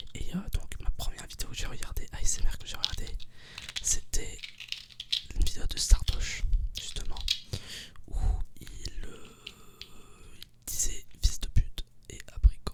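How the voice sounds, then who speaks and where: Whispering at a fairly slow pace with long, frequent pauses, a man swings widely in loudness over noticeable background noise. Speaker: ASMR creator. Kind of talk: casual ASMR talk to camera. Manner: whispered.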